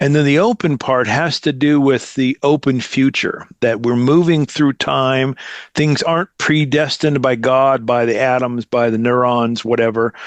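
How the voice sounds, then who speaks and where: A man with an American accent uses an ordinary speaking voice at medium pitch, with fairly even intonation, very even loudness, hardly any pauses, and a dry, close sound with no echo. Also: moderate pace. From United States. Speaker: theologian and seminary program director. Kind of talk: casual interview conversation.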